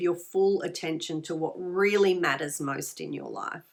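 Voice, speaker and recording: A woman with an Australian accent at a fairly slow pace. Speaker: tarot reader and spiritual healer. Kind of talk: tarot card reading. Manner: conversational, many fillers and repetitions.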